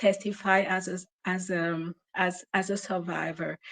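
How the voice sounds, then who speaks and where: The voice moves at a fairly slow pace, and the sound is dry and close with no echo. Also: woman. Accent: French. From Cameroon. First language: French. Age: 40s. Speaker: caller. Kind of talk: testimony. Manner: halting.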